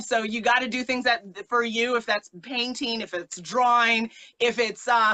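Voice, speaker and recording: At a moderate pace, a woman with a fairly high pitch speaks in an animated tone. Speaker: influencer talk show host. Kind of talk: live-streamed interview conversation.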